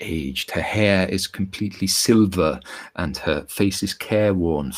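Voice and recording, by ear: Text is read aloud in a natural voice whose pitch varies in an ordinary way.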